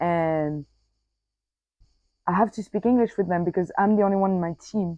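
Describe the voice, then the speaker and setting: A woman with a French accent has a medium pitch and a dark, mellow tone, recorded with a dry, close sound with no echo. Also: ordinary pitch variation, moderate pace. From Corsica, France. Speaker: podcaster. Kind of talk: casual personal podcast monologue. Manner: casual, many fillers and self-corrections.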